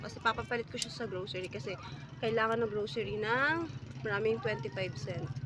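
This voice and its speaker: Over noticeable background noise, a woman at a medium pitch makes very wide pitch swings. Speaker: vlogger. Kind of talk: casual vlog. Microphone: no mic.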